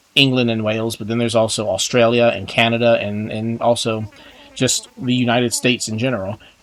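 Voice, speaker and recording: With an American accent, a man speaks fairly quickly at a medium pitch in a monotone, flat delivery, with noticeable background noise behind him. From Texas. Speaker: gaming YouTuber. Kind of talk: casual gameplay commentary. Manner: rambling, many fillers and repeats.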